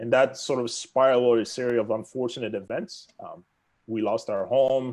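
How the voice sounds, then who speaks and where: A man is speaking. His pitch is medium, and his pace is moderate. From Democratic Republic of the Congo. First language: French. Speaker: real estate agent. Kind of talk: podcast interview.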